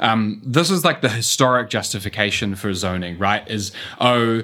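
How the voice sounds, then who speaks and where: With a New Zealand accent, a man talks at a medium pitch. His pace is moderate and his intonation fairly even. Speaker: urban economist. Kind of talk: interview.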